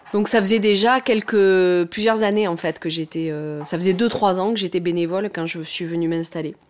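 Speaking at a moderate pace with hardly any pauses, a woman keeps a medium pitch. Her pitch varies in an ordinary way. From southwest France, Lot near Cahors. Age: 40s. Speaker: remote worker who moved to the countryside. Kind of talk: interview. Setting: at home, in the kitchen. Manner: halting, many fillers.

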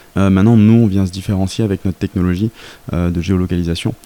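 The man's voice is very deep and low, with a dark, mellow tone and ordinary pitch variation. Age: 30s. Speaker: startup founder. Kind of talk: interview.

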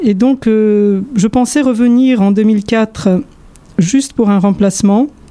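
Speaking at a very slow pace, a woman keeps her loudness very even, with fairly high pitch and ordinary pitch variation. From Poland (Warsaw). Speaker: orchestral violinist. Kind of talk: interview monologue. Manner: halting.

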